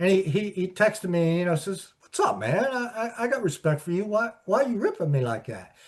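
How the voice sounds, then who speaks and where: A lively, moderately paced voice with an American accent against a quiet background. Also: man. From Pittsburgh, US. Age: 60s. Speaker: sports journalist and author. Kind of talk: interview. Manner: halting, repetitive.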